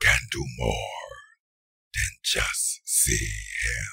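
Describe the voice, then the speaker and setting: A man uses a put-on character voice. It sounds raspy. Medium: dub. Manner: ominous, calm.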